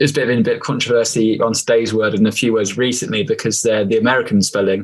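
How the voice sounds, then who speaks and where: This man speaks very fast with an English accent. His pitch is medium and its variation ordinary. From England, Stamford. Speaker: author, former footballer. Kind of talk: casual chat.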